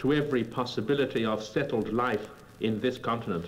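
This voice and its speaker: At a moderate tempo, a man talks, his pitch varying in an ordinary way. His is an unremarkable speaking voice. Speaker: statesman giving political speeches. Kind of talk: formal political oratory. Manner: measured, eloquent, rhetorical.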